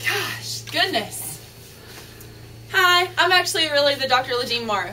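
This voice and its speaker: With an American accent, a woman projects a raised, high-pitched voice with lively intonation. She speaks at a fairly slow pace over noticeable background noise. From US South, North Carolina (Greensboro). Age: 20s. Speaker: dentist and dating show applicant. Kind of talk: video self-introduction. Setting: dental office tour. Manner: casual, hesitant with fillers.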